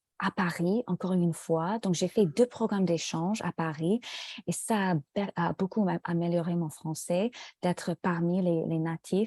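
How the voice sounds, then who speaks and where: A woman with an English accent speaks at a fairly slow pace in a fairly low pitch and dark, mellow tone, in a very clean recording with a silent background. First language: English (speaking French). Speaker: French language student. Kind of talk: casual conversation in a language lesson. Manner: halting, many hesitations.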